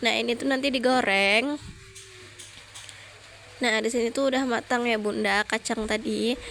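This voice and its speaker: A woman's fairly high voice with fairly even intonation over noticeable background noise. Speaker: mother. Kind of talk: casual day-in-my-life vlog narration.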